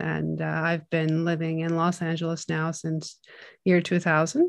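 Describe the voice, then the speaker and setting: A woman with a Turkish accent talks at a moderate pace in a fairly low pitch. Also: quiet background. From Turkey (Istanbul). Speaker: film composer. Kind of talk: interview. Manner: halting.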